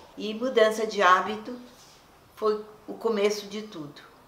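A woman talks very slowly, and audible room echo is heard around her words. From Brazil. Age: 80s+. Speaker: voice actor. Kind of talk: interview answer. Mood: warm, nostalgic, smiling. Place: home room.

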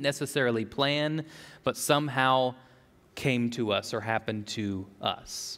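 A man talks at a fairly slow pace. His pitch moves in an ordinary way. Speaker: pastor. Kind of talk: sermon. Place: church. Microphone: headset.

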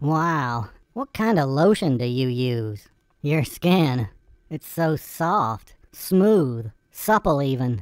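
A cartoonish character voice at a low-to-middle pitch and a very slow pace. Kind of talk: comic overacting. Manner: mocking, crude, taunting.

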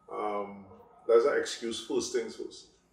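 There is audible room echo as a man speaks at a fairly slow pace. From Trinidad, Sangre Grande area; Trinidad. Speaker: clothing designer and store owner. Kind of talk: interview; interview answer. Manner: forceful, outspoken. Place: home room.

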